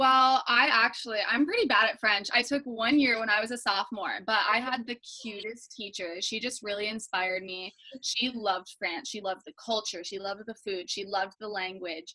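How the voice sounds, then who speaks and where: In a normal speaking voice, a woman with an American accent talks at a moderate pace with a fairly high pitch, ordinary pitch variation and hardly any pauses. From Minnesota. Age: young. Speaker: recent high school graduate. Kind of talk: casual interview.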